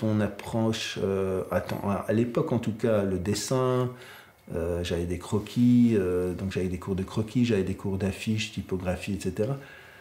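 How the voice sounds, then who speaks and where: A man talks at a fairly slow pace with ordinary pitch variation, and noticeable background noise comes through. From southern Belgium (Gaume). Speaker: graphic designer and artist. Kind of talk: interview. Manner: hesitant, many fillers.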